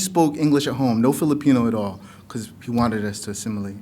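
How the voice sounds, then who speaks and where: Lively intonation at a fairly quick pace. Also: man. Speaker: poet. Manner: loud.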